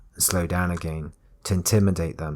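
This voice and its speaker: A soft-spoken man talks at a moderate pace with a very deep, low pitch and fairly even intonation. The recording is very clean, with a silent background. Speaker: storyteller. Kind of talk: bedtime thriller story reading.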